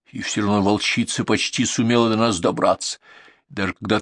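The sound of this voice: A reading voice, unforced.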